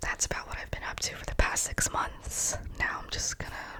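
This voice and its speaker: Amid noticeable background noise, a woman whispers at a moderate pace. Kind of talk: ASMR whisper ramble update; casual talk to camera. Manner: whispered, soft-spoken.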